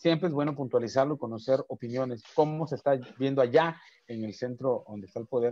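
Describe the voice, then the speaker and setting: Against a quiet background, a man talks at a fairly quick pace in a dry sound with no echo. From Mexico, Chiapas. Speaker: talk show host; program host. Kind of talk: interview. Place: home room. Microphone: video call.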